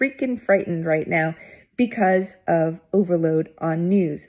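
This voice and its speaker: A woman's somewhat breathy voice with a dark, mellow tone and ordinary pitch variation, at a fairly slow pace. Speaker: retirement wellness platform founder. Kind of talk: casual talk to camera, advice video. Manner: upbeat, energetic, chatty.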